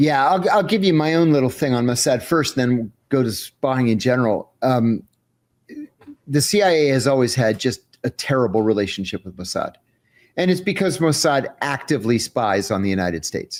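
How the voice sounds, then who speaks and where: A man speaks at a medium pitch with very wide pitch swings. His pace is moderate. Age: 60s. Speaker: former intelligence officer and whistleblower. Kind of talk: interview. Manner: halting.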